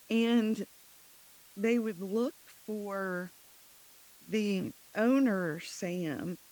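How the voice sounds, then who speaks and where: Quiet and very slow, a woman speaks in a dark, mellow tone with ordinary pitch variation and long, frequent pauses. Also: medium pitch for a woman. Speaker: business owner, CEO of a sign company. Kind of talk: podcast interview.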